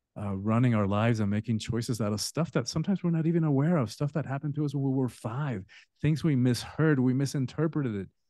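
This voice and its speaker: A very fast voice in a Spanish accent, dark and mellow in tone, over a quiet background. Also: man, medium pitch for a man, ordinary pitch variation. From Spanish-speaking country, then US from age 10. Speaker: author and transformation coach. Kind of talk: podcast interview. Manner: halting, with fillers.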